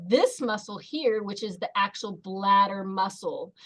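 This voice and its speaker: A woman's fairly slow, lively intonation in an ordinary speaking voice. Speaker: pelvic floor physical therapist. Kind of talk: webinar presentation with slides.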